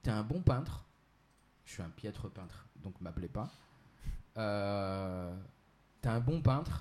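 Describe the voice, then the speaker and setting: With a dark, mellow tone, a man speaks at a fairly slow pace and sounds somewhat breathy. His intonation is lively. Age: 30s. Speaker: entrepreneur and Islamic finance specialist. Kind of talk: explanatory interview. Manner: hesitant, many fillers.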